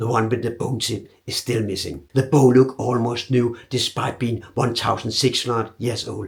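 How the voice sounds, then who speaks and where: The speaker has a Danish accent. The pace is moderate, with ordinary pitch variation. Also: man. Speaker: archer. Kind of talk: documentary narration.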